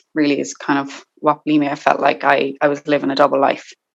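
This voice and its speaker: A woman's very deep, low voice in an Irish accent at a fairly quick pace. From Ireland, County Limerick. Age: 20s. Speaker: guest sharing eating disorder recovery story. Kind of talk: personal testimony interview.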